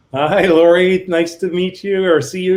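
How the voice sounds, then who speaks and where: With a Canadian accent, a man speaks at a high pitch. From Canada. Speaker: business consultant. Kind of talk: video interview.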